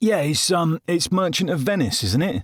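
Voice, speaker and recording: Very cleanly recorded against a silent background, a man talks at a moderate pace. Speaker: comedian, voice actor, army veteran. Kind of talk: first-person comedic narration.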